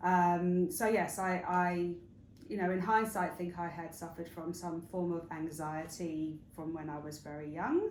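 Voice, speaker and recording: A woman with an English accent speaks at a fairly slow pace in a fairly low, flat monotone, with audible room echo. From England, northwest London / Hertfordshire. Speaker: interview guest, wellness retreat founder. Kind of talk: interview. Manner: hesitant, many fillers.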